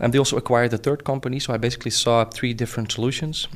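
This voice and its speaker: A man with a Dutch accent at medium pitch, very fast pace and fairly even intonation, on a very clean recording with a silent background. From Netherlands. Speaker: tech company founder. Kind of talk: interview.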